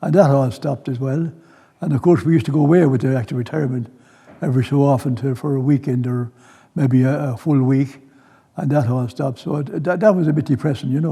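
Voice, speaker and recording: Talking at a very fast pace in an Irish Midlands accent, a man uses a fairly high pitch, a dark, mellow tone and a somewhat breathy delivery. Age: 80s+. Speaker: retired grandparent. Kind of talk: interview testimony.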